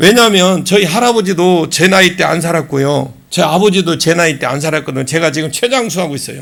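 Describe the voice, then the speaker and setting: A man talks at a very fast pace with hardly any pauses. His pitch is high, with ordinary pitch variation. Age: 60s. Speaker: pastor. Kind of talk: sermon. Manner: animated.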